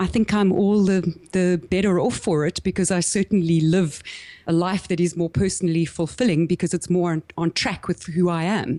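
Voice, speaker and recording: A woman with a South African accent speaks in a dark, mellow tone at a moderate pace, her intonation fairly even and her loudness very even. The recording is very clean and dry, close with no echo and a silent background. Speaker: business coach. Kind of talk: podcast interview.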